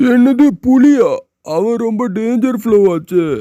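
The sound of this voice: A man uses a cartoonish character voice at an extremely high pitch. He speaks at a very slow pace.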